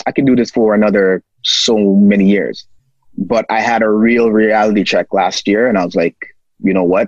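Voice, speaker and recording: An unremarkable speaking voice from a man, fairly low-pitched and fairly quick, with a dry, close sound with no echo. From Toronto, Canada. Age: 30s. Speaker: financial literacy educator and author. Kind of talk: casual interview.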